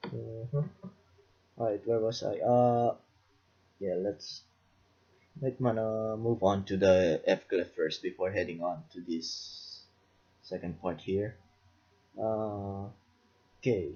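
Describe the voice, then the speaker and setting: Somewhat breathy and at a fairly low pitch, a man speaks at a very slow pace with long, frequent pauses and ordinary pitch variation. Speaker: music production tutorial maker. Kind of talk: tutorial. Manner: halting, many fillers.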